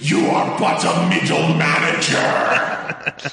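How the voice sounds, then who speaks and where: A man uses a put-on character voice that is raspy, shrill and fairly high in pitch, at a very slow pace. Strong echo surrounds it, with faint music in the background. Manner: scornful, insulting.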